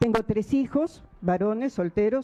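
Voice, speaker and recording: A woman talks at a fairly slow pace. Her tone is dark and mellow, and her intonation is lively. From Peru. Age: 60s. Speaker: defendant. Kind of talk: court statement. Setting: courtroom hearing.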